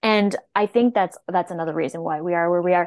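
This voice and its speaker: A woman with a Canadian accent speaks at a fairly quick pace in an ordinary speaking voice with ordinary pitch variation. The sound is dry and close, with no echo. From Nova Scotia, Canada. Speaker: naturopathic doctor. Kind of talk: casual interview.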